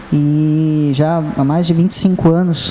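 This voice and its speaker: Noticeable background noise surrounds a man speaking with a fairly high pitch. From Itu, São Paulo state, Brazil. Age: 30s. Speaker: city councillor. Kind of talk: interview.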